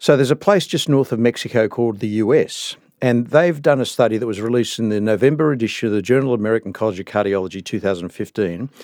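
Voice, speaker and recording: A man with an Australian accent talks at a very fast pace, barely pausing, with a medium pitch and ordinary pitch variation. The recording is very clean, with a silent background. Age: 60s. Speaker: cardiologist. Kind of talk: interview. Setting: studio.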